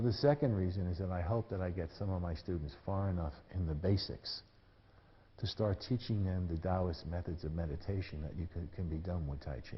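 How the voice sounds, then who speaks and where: Somewhat breathy delivery at a fairly quick pace with ordinary pitch variation. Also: man, very deep, low pitch for a man. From US Northeast, New York City. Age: 70s. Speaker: tai chi teacher. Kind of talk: lecture. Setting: stage with audience. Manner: casual.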